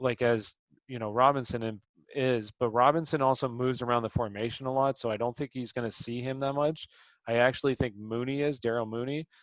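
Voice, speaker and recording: A man talks at a fairly quick pace with a normal speaking voice. His pitch is medium and his intonation fairly even. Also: quiet background. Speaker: fantasy sports show host. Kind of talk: casual sports analysis chat.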